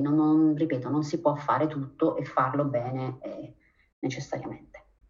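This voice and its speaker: The voice is somewhat breathy and moves at a fairly slow pace. Its intonation stays fairly even. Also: woman. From Abruzzo, Italy. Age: 40s. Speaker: physician and researcher. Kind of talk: interview.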